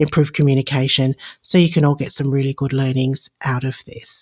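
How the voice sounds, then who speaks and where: The sound is dry and close, with no echo. A woman speaks with an Australian accent. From Australia, Sydney. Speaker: podcast host. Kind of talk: podcast monologue. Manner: animated.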